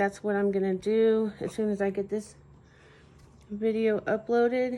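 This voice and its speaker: A woman speaks quietly at a fairly high pitch and a fairly slow pace, her tone dark and mellow and her intonation monotone and flat. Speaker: soap maker and channel host. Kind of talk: narrated craft tutorial. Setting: home at night. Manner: quiet, hushed.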